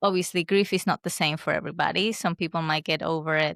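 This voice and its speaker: A woman with a Spanish accent talks fairly quickly at a fairly low pitch. The recording is very clean and dry, close-miked with no echo and a silent background. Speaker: podcast host. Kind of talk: podcast interview.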